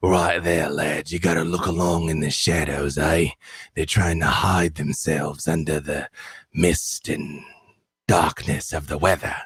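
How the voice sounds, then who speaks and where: Putting on a character voice, a man speaks in a raspy, very deep, low pitch, with monotone, flat intonation at a moderate pace. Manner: urgent, instructing.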